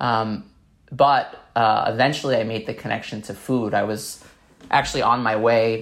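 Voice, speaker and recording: Speaking with an American accent, a man has an ordinary speaking voice, medium pitch, and fairly even intonation. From New York City (Staten Island). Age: 30s. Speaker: documentary filmmaker and nonprofit founder. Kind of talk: interview conversation.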